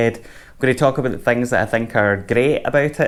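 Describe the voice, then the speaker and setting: Very fast speech comes from a man with a Scottish accent and medium pitch. The recording is very clean, with a silent background. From Scotland. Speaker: music gear youtuber. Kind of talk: product review. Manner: casual.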